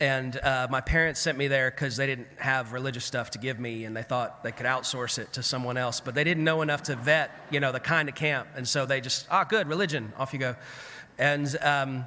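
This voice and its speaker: A man with a Southern US accent, a fairly high pitch and a bright, sharp tone. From US South. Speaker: clergy keynote speaker. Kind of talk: keynote address. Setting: conference at a camp with audience. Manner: conversational, storytelling.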